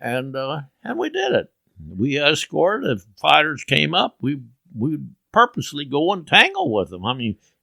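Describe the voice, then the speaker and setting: A man's fairly high, bright and sharp voice, marked by vocal fry and very wide pitch swings, moves at a moderate pace in a dry, close sound with no echo. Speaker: war veteran fighter pilot. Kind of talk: interview answer.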